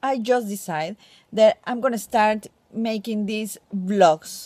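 In a Mexican accent, a woman with a fairly high, somewhat breathy voice speaks at a very slow pace, the sound dry with no echo. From Mexico. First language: Spanish. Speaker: vlogger. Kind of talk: casual vlog talk to camera. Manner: upbeat, chatty. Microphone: phone near.

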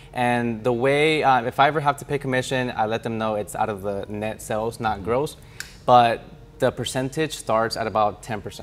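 A man talks at a moderate pace with fairly even intonation. Faint music plays behind him. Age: 20s. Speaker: vending machine business owner. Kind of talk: casual interview and business tour. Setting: warehouse and route locations, on camera. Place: workshop.

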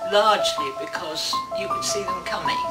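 A woman is heard over loud music in the background. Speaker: WWII civilian survivor. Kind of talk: interview answer. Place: home room.

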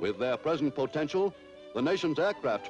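Clear music plays in the background while a man with an American accent speaks at a fairly quick pace with lively intonation. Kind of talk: newsreel narration. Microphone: old recording.

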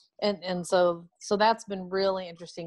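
A woman's fairly low voice at a moderate pace, dry with no echo, over a quiet background. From California, US. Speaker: food allergy advocate, mother. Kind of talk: casual group chat. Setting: video call. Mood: relaxed, friendly. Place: home room. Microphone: video call.

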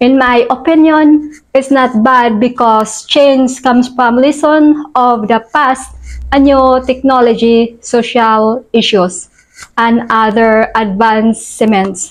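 A woman with a Filipino accent speaks at a very slow pace in a high voice, with ordinary pitch variation and very even loudness. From Philippines. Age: 30s. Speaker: vlogger. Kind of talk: scripted monologue. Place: home room.

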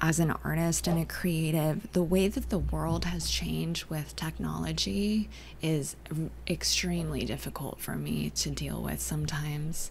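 The speaker has an American accent and talks fairly slowly. Light background noise is present. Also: woman. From Northern California, Humboldt County; Northern California. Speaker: artist and entrepreneur; podcast guest. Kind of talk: casual interview chat. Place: studio. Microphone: studio mic.

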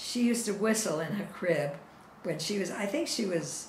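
A woman of medium pitch speaks with very wide pitch swings. Audible room echo and light background noise are present. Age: 80s+. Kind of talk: interview answer. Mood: warm, amused, animated. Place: home room. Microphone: camera far.

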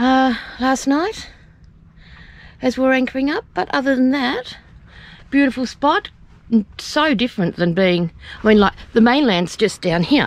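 Moving at a moderate pace with long, frequent pauses, a woman speaks in a high pitch. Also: dry sound with no echo. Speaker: sailing vlogger. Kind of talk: casual vlog chat. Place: boat. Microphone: phone near.

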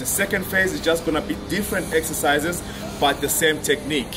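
Music plays in the background. Over it, a man talks with ordinary pitch variation. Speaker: fitness coach. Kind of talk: workout intro explanation. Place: gym.

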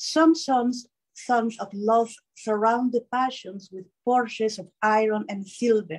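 Slow and fairly high-pitched, a woman with a Mexican accent speaks in a slightly mellow tone with ordinary pitch variation.

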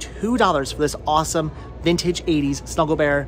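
A man talks at a fairly quick pace while crowd noise carries in the background. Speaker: thrift vlogger. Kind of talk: casual vlog chat. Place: shop. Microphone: phone near.

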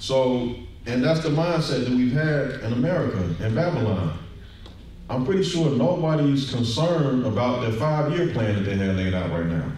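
The voice moves at a moderate pace with lively intonation, and strong room echo fills the recording. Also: man. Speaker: deacon teaching a scripture lesson. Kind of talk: sermon-style bible lesson. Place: church.

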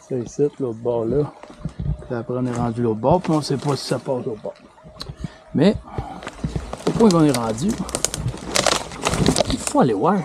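With long, frequent pauses, a man talks at a moderate pace and ordinary pitch variation. The sound is dry with no echo, though noticeable background noise is present. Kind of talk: casual vlog chat. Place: forest. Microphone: phone near.

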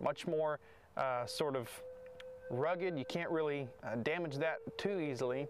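Against music in the background, a man speaks at a fairly high pitch in a dry sound with no echo. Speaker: Native history educator. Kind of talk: casual educational talk to camera.

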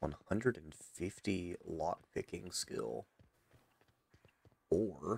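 A man with an American accent speaks at a very slow pace in a very deep, low voice, with long, frequent pauses, lively intonation and vocal fry. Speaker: gaming streamer. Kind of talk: live gameplay commentary. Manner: casual, conversational.

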